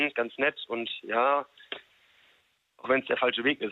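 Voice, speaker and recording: Monotone, flat intonation at a moderate pace. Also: man. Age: 30s. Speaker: radio call-in listener. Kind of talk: casual phone chat.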